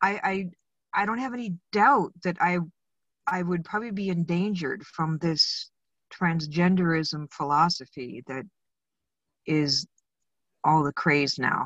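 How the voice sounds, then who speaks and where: A woman with an American accent speaks at a fairly slow pace and fairly low pitch, using lively intonation and long, frequent pauses. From Arizona, US West. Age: 60s. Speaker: electrical inspector. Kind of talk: interview. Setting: in a car, remote call.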